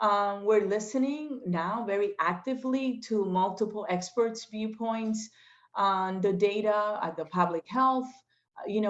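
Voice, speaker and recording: This woman has a Spanish accent. She speaks at a fairly slow pace. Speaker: state legislator. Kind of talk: interview. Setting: video call. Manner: hesitant, many fillers.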